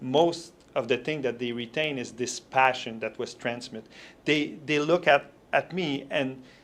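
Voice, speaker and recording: Here a man speaks with a French accent and a medium pitch. He keeps a moderate pace and fairly even intonation. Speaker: motivational speaker. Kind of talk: interview.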